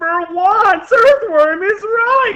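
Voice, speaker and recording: The pitch is extremely high. It belongs to a put-on character voice. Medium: read story.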